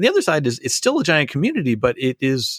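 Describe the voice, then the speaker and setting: Speaking very fast, a man keeps to a medium pitch. The recording is very clean, with a silent background. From Canada. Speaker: podcast host. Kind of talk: interview chat.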